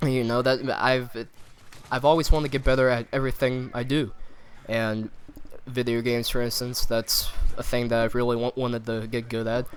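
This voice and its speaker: Monotone and flat, a man speaks at a medium pitch. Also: moderate pace. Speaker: gaming video commentator. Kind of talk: casual vlog monologue. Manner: halting.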